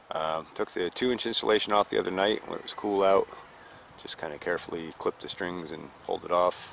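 A man talks at a fairly quick pace over light background noise, the sound dry with no echo. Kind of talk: casual vlog chat. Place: garden.

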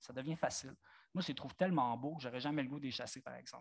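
The recording is very clean, with a silent background. A man speaks in a fairly high pitch with ordinary pitch variation. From Franco-Ontario (eastern Ontario). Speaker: nature photographer. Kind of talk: public talk with slides. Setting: amphitheatre with live audience.

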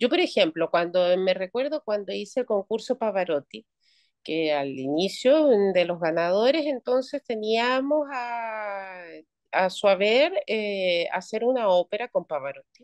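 The voice swings very widely in pitch at a fairly slow pace, with a quiet background and a dry sound with no echo. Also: woman. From Chile. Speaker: retired opera singer; guest. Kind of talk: interview. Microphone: video call.

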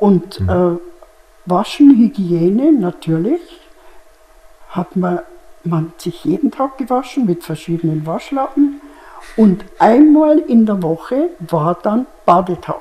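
Speaking very slowly, a woman lets her pitch swing very widely and leaves long, frequent pauses. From Germany. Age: 80s+. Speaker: contemporary witness. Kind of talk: interview answer. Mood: calm, reminiscing. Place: studio. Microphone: lapel.

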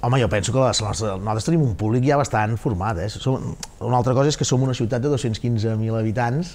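An unremarkable speaking voice moves at a fairly quick pace with very even loudness and ordinary pitch variation. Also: man, medium pitch for a man. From Catalonia. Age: 40s. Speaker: castellers club president and public official; interview guest. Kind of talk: TV interview. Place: studio. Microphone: lapel.

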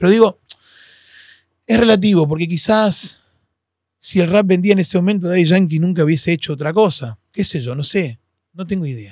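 A man's high-pitched voice with ordinary pitch variation and long, frequent pauses, dry with no echo, over a quiet background. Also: moderate pace. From Argentina, Posadas (Misiones); Misiones, Argentina. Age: 40s. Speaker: freestyle battle host and hip hop ministry leader; podcast guest, hip hop host. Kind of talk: casual interview chat. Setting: recording studio. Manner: animated. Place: studio. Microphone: studio mic.

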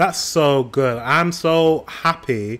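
This man speaks with a British accent and ordinary pitch variation. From United Kingdom. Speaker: YouTube reactor. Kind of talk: casual reaction commentary. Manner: upbeat. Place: home room.

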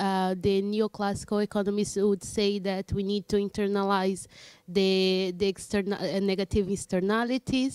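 A woman with a Portuguese accent speaks at a moderate pace in a monotone, flat intonation, her loudness very even, the sound dry with no echo and the background quiet. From Brazil. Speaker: audience member. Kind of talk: audience question. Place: classroom. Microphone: handheld.

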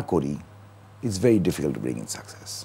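A man talks with lively intonation. His tone is dark and mellow. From Dhaka, Bangladesh; Bangladesh. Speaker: banker; talk show guest. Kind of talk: talk show interview. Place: studio. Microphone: lapel.

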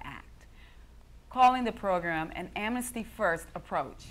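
With lively intonation and vocal fry, a woman speaks over light background noise. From United States. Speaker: news anchor and reporter. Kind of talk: television news anchor delivery.

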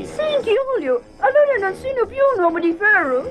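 A man performs a put-on character voice at a moderate pace. Background noise is clearly audible. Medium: dub.

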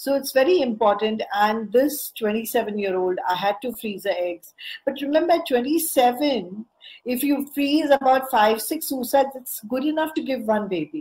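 Lively intonation marks a woman's high voice. She speaks at a fairly slow pace. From India. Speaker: fertility specialist; guest. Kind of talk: lecture. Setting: video call.

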